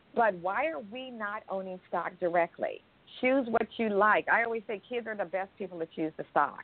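With an American accent, a woman speaks at medium pitch. Her pace is moderate and her pitch variation ordinary. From US West Coast, Berkeley, California. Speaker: financial education entrepreneur. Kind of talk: radio interview. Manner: articulate, enthusiastic.

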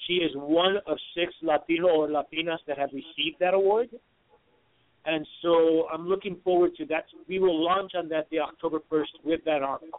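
The man's voice sits at a high pitch. His intonation stays fairly even. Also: moderate pace. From Puerto Rico. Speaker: insurance broker, page creator. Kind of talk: radio interview. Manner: halting.

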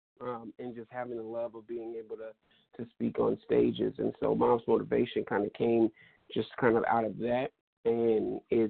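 A man at a moderate pace. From Stockton, California. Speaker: motivational speaker. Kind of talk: radio interview. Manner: hesitant, many fillers.

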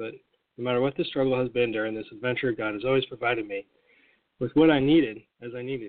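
A man talks very rapidly, his medium pitch rising and falling a normal amount. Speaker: daily prayer host and former bookstore owner. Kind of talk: fervent prayer, spoken intimately to God. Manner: earnest, heartfelt, steady devotional delivery.

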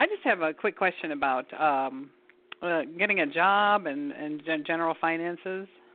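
A woman with an American accent at a moderate pace, a normal speaking voice with ordinary pitch variation. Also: fairly low pitch for a woman. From Michigan. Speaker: caller. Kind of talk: phone-in question.

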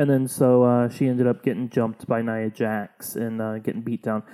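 A dark, mellow voice moves at a fairly quick pace in a very clean recording with a silent background. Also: man. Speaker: podcast co-host and comedian. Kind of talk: casual comedic banter, wrestling recap.

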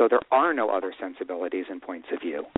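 A man talks at a fairly quick pace in an ordinary speaking voice with ordinary pitch variation. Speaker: writer-director. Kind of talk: radio interview, casual chat.

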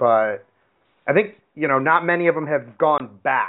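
An unremarkable speaking voice from a man with an American accent, at a moderate pace with ordinary pitch variation. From US, Seattle. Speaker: MMA podcast host and gym coach. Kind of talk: casual interview; sponsor read. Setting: live call-in show.

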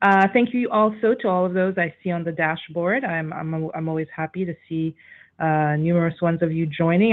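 At a fairly quick pace, a woman with an unremarkable speaking voice talks in a fairly low pitch with ordinary pitch variation. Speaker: radio talk show host. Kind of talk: talk show.

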